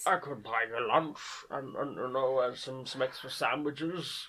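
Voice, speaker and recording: Someone uses a put-on character voice at a low-to-middle pitch, speaking at a moderate pace over light background noise. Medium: comedy sketch. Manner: polite, hesitant.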